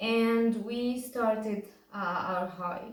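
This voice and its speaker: A woman with a fairly high pitch and a somewhat breathy voice is heard with audible room echo. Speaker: vlogger sharing injury recovery story. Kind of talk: personal testimony to camera. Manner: hesitant, many fillers.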